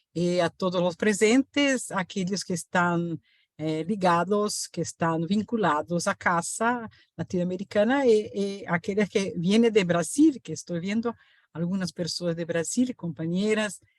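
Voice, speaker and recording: A woman speaks at a medium pitch with a Portuguese accent. The background is quiet. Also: ordinary pitch variation, fairly slow pace. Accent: Portuguese-accented Spanish, non-native. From Brazil. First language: Portuguese (speaking Spanish). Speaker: professor. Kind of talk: lecture. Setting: video call webinar. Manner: halting, many fillers and self-corrections.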